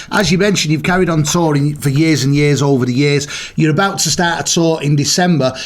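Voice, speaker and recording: With hardly any pauses, a man at fairly high pitch talks in fairly even intonation, amid noticeable background noise and audible room echo. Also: fairly quick pace, very even loudness. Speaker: radio presenter. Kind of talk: radio interview.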